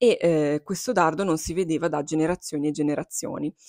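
The speaking pace is moderate. The sound is dry with no echo against a quiet background. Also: woman. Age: 20s. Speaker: book YouTuber. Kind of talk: casual chat. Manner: animated. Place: home room. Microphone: lapel.

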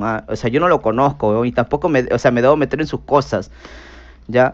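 The recording has a quiet background. A man talks at a fairly quick pace. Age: 30s. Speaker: streamer. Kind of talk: casual chat. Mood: defensive, scolding. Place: home room. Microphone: headset.

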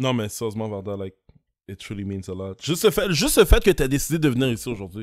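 Against a quiet background, a man speaks at a very fast pace with lively intonation and big swings in loudness. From Montreal, Quebec (Haitian community). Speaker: podcast host, entrepreneur; podcast host. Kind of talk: casual chat. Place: studio. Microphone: studio mic.

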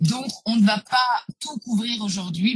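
A woman speaks with ordinary pitch variation. The sound is dry with no echo, and faint music plays in the background. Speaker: genealogist and historian; webinar presenter. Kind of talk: webinar presentation. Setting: live online webinar. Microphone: video call.

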